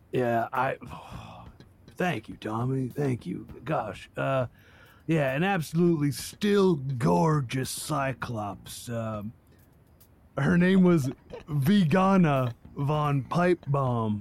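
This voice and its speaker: A man speaks in a put-on character voice at a medium pitch. His pace is very slow. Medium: actual play. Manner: goofy, earnest, stammering.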